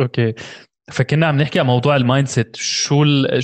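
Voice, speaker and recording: A man uses a normal speaking voice at a moderate pace with fairly even intonation over a quiet background. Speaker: podcast host. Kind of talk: casual interview.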